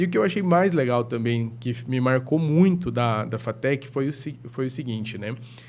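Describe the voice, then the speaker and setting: A plain, everyday voice with ordinary pitch variation and hardly any pauses. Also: man, medium pitch for a man, moderate pace. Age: 30s. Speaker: psychologist. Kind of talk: podcast interview.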